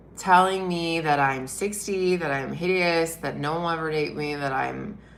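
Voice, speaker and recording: Audible room echo surrounds a voice with an animated tone. It moves at a fairly slow pace with ordinary pitch variation. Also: woman. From Britain. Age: 40s. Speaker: wellness and dating content creator. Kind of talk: live stream monologue.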